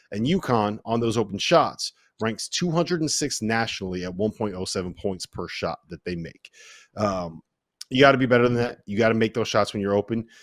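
A man's medium-pitched voice at a moderate pace with lively intonation, dry and close with no echo, in a very clean recording with a silent background. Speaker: podcast host. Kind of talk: casual sports banter, holiday special. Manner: animated, joking.

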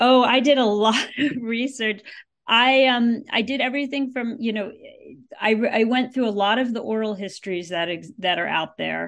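With an American accent, a woman talks at a moderate pace in a normal speaking voice, her pitch fairly high and her pitch variation ordinary. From US Northeast (Yonkers, New York). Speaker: author and journalist. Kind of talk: interview. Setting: podcast interview.

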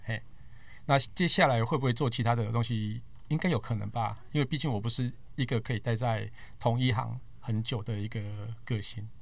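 There's vocal fry in this man's medium-pitched voice, which shows ordinary pitch variation. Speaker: tech podcaster and media worker. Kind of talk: casual chat.

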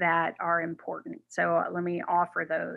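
The pace is fairly slow. It is a normal speaking voice. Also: woman. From New York City. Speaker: corporate responsibility expert and author. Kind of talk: interview conversation.

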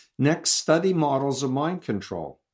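A man's plain, everyday voice in an American accent, with lively intonation at a fairly slow pace, on a very clean recording with a silent background. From New York. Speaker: cult expert and author. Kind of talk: interview.

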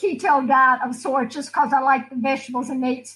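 A woman speaks at a high pitch with a Southern US accent. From US South, Alabama. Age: 70s. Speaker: martial arts competitor. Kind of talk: casual chat. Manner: animated.

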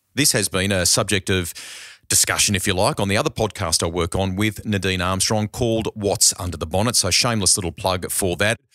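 Recorded very cleanly against a silent background, a man with an Australian accent talks at a fairly quick pace with a fairly low pitch and a bright, sharp tone. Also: ordinary pitch variation. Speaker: motoring podcast host. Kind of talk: casual chat. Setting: studio.

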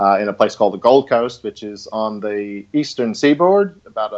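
At a moderate pace, a man with a medium pitch speaks with lively intonation and big swings in loudness. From California. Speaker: golf industry news managing director. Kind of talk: casual interview. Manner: hesitant, filler-heavy.

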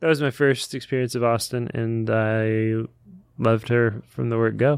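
A man with an unremarkable speaking voice at a medium pitch and moderate pace, with ordinary pitch variation, over a quiet background. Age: 30s. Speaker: book podcast co-host. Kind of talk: casual chat.

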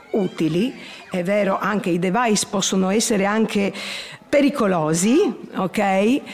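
This woman talks at a fairly slow pace and medium pitch, with lively intonation. Noticeable background noise sits behind her. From Trieste, Italy. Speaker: grandmother and course participant. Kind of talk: interview testimony. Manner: halting.

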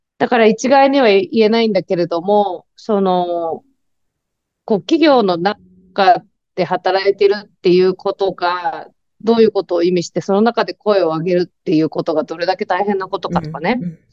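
A woman speaks at a moderate pace and a medium pitch, with ordinary pitch variation and big swings in loudness. Hers is an unremarkable speaking voice. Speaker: writer and activist. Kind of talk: casual interview.

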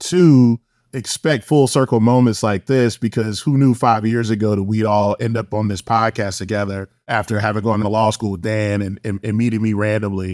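In a normal speaking voice, someone talks at a fairly quick pace with fairly even intonation, the sound dry and close with no echo on a very clean recording with a silent background. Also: man. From Savannah, Georgia, US South. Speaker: podcast host, law firm partner. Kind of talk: podcast interview.

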